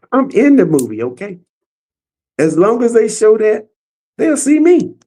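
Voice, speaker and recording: A man talks at a moderate pace in a high pitch with very wide pitch swings. His tone is dark and mellow. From Arkansas (Little Rock). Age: 70s. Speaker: motorcycle club co-founder. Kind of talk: casual interview chat.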